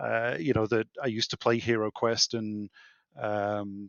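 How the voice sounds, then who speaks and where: A man with a British accent. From UK. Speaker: insolvency trustee, board gamer. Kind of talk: casual chat.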